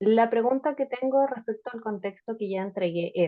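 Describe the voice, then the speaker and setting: Her voice sits fairly high for a woman, with ordinary pitch variation and a moderate pace. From northern Chile. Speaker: youth participant asking a question. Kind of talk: question at an online panel talk. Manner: formal.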